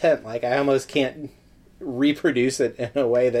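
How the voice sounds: Fairly even intonation in a natural reading voice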